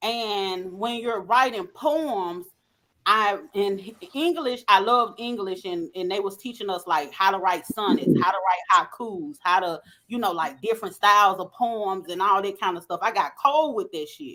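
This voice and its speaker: A woman with a Southern accent speaks in a bright, sharp tone at medium pitch and a moderate pace, her intonation lively and her loudness swinging widely. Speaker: podcast co-host. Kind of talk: casual chat.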